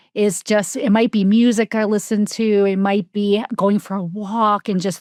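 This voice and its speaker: With a slight New Jersey accent, a woman talks at a moderate pace in a medium pitch, on a very clean recording with a silent background and a dry, close sound with no echo. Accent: slight New Jersey, shows on some words. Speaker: life coach and author. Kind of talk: casual interview chat.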